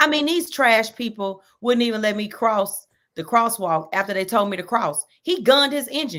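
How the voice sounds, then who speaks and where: A woman speaks at a moderate pace in a strong Texan accent, her pitch fairly high and swinging very widely. Her tone is bright, sharp and animated. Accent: Texas accent, strong. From Texas. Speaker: sports podcast host. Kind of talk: casual chat.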